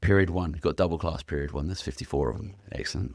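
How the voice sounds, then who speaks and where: In a very clean recording with a silent background, a man with an English accent speaks in a very deep, low voice. Vocal fry colors his delivery, and his pitch variation is ordinary. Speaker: youth worker and former rugby league coach. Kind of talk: casual interview chat. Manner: loud, carrying.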